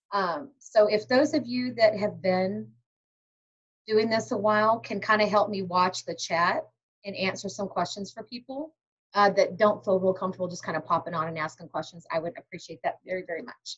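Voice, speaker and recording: A woman's somewhat breathy, medium-pitched voice with big swings in loudness. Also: ordinary pitch variation. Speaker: direct sales team leader. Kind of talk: training webinar. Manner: fast.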